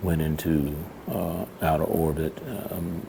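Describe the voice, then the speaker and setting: The voice is quiet and monotone, with flat intonation. Noticeable background noise and audible room echo come through. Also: man. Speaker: vlogger. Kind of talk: casual vlog monologue. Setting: public library. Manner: quiet, keeping voice down; halting, many fillers.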